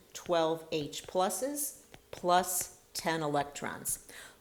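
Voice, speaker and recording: A woman's fairly low voice with audible room echo and music in the background. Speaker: chemistry instructor. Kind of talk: lecture.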